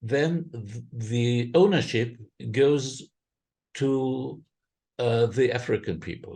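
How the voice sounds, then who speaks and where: At a very slow pace with long, frequent pauses, a man speaks at medium pitch with ordinary pitch variation and big swings in loudness. His tone is dark, mellow and somewhat breathy. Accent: German. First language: German. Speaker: impact investment fundraiser. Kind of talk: podcast interview. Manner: halting, many fillers.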